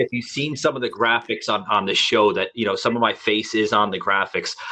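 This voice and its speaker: A man with a New York accent talks at a fairly quick pace with hardly any pauses, amid noticeable background noise. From New York City. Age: 40s. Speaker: podcast host. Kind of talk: casual chat. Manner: halting.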